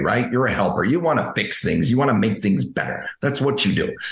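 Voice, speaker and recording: Audible room echo surrounds a man's somewhat breathy, medium-pitched voice, which swings very widely in pitch. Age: 50s. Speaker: dental coach, former dentist. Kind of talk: interview. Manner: halting.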